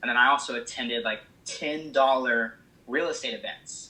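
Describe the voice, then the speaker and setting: With a Midwestern American accent, a man speaks at a moderate pace. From small town in Illinois. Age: 20s. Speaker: real estate investor. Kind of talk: casual interview answer. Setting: phone line.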